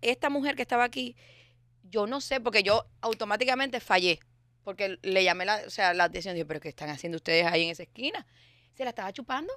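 A woman speaks very fast in an animated tone, her medium pitch swinging very widely. The sound is dry with no echo over a quiet background. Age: 40s. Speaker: recurring guest. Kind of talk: casual comedic chat. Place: studio. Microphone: studio mic.

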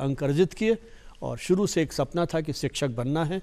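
With ordinary pitch variation, a man delivers his words rather slowly. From Rajasthan, India (Jaipur). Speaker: retired journalism professor. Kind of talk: TV interview. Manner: formal. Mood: reflective, storytelling about own life. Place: studio.

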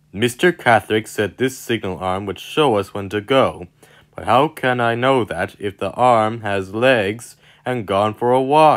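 Using a put-on character voice, a man rumbles at a fairly slow pace and a medium pitch. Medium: read story. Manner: grumbling, huffy.

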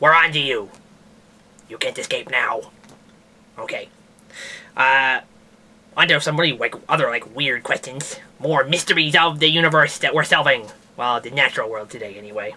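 In a cartoonish character voice at a low-to-middle pitch, the speaker moves at a moderate pace with long, frequent pauses. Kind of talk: comedic science news show. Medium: puppet. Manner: rambling, hesitant, casual.

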